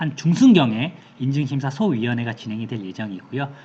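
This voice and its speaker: Very wide pitch swings mark a man's speech. His voice is somewhat breathy. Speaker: certification consultant presenting info session. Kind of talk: online information session presentation. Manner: fast.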